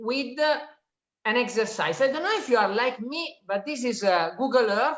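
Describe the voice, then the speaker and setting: The woman speaks with an Italian accent and a high pitch. Audible room echo surrounds her voice. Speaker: economist and author giving a talk. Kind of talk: lecture. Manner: halting, with frequent fillers.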